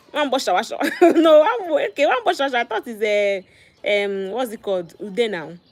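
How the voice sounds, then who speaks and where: A woman's high voice with very wide pitch swings, at a fairly quick pace over noticeable background noise. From Nigeria, Igbo land (Ezeagu). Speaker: online content creator. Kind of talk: casual livestream chat. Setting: getting hair braided during livestream.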